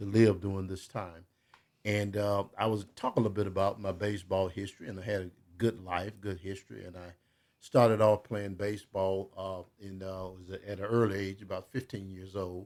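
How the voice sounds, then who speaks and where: A man's fairly low voice at a moderate pace, monotone and flat in intonation, with big swings in loudness. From South Carolina, US South. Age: 80s+. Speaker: retired baseball player and author. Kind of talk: radio interview. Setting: radio studio.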